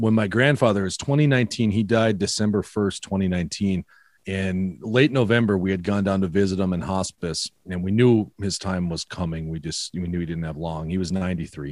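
With a Minnesota accent, a man with a very deep, low voice talks at a fairly quick pace with ordinary pitch variation and hardly any pauses. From Minnesota, US. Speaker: podcaster, photographer and writer. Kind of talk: casual interview chat. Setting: video call.

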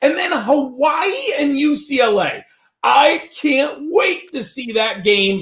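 The man speaks in an animated tone. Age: 50s. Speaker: fantasy football analyst. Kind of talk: casual chat.

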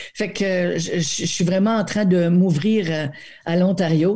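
A woman speaks at medium pitch in a somewhat breathy, dark, mellow tone with ordinary pitch variation. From New Brunswick, Acadia. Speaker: actress. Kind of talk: interview.

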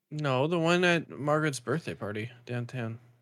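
With lively intonation, a man talks at a moderate pace in a normal speaking voice. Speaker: podcast co-host. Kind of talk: casual banter podcast.

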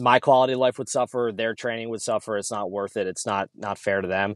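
A man with a plain, everyday voice and an American accent talks at a fairly quick pace with medium pitch and ordinary pitch variation, in a very clean recording with a silent background and a dry, close sound with no echo. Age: 30s. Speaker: gym owner and army fitness coordinator. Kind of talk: casual chat.

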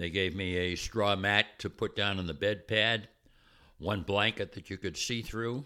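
The voice has a bright, sharp tone and an American accent, moving at a fairly slow pace. The recording is very clean, with a silent background. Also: man. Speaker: war veteran, former prisoner of war. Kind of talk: testimony.

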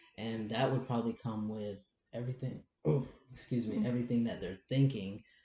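A man's somewhat breathy, dark and mellow voice with fairly even intonation. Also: medium pitch for a man. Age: 20s. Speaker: interview guest, transgender man. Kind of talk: personal testimony. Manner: halting.

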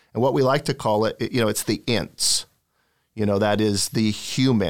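A man's ordinary speaking voice, fairly low in pitch with ordinary pitch variation, in a very clean recording with a silent background. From Oregon, US Pacific Northwest. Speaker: senior law enforcement official. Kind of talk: interview.

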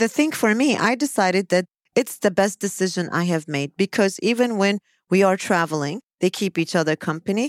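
Recorded very cleanly against a silent background with a dry, close sound and no echo, a woman with a plain, everyday voice talks at a moderate pace and medium pitch with lively intonation. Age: 50s. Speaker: psychologist. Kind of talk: casual chat.

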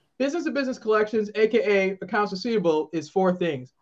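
An animated tone carries this speech in an American accent. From Boston. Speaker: author and business consultant. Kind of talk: live interview conversation. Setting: live stream. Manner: animated, excitable.

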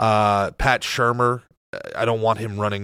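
Fairly low-pitched man's voice with an American accent, bright and sharp in tone, monotone and flat in intonation, in a very clean recording with a silent background. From New Jersey. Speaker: podcaster, guest. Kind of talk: casual chat.

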